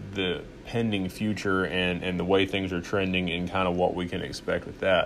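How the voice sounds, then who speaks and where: With a Southern US accent, a man speaks in a very deep, low pitch. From US South, Arkansas. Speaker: podcast host. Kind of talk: casual monologue. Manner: halting, many fillers.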